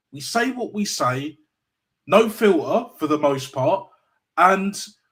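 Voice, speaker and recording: A man is speaking. He has a London accent. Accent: London multicultural English. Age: 30s. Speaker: football YouTuber. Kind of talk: live call-in show discussion. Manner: animated.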